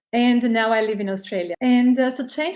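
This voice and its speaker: Her tone dark and mellow, a woman speaks at a fairly quick pace. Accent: Spanish. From Spain. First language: Spanish. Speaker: business leader, inclusion advocate. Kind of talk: interview self-introduction.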